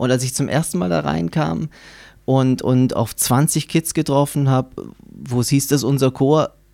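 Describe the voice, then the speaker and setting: On a very clean recording with a silent background, a man speaks in a dark, mellow tone. His pace is fairly slow and his intonation lively. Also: medium pitch for a man. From Baden-Württemberg, Germany. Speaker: saxophonist and music project leader. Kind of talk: interview. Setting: studio.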